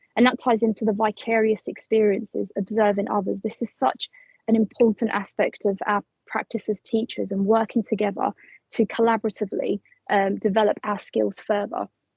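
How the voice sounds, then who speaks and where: A woman speaks fairly quickly at a fairly high pitch, her intonation monotone and flat with vocal fry. The sound is dry and close, with no echo. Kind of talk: professional development presentation. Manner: fast.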